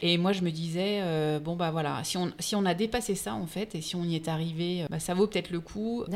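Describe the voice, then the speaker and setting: A woman speaks at a fairly low pitch and a moderate pace. It is a normal speaking voice, with ordinary pitch variation. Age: 40s. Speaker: entrepreneur. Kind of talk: interview.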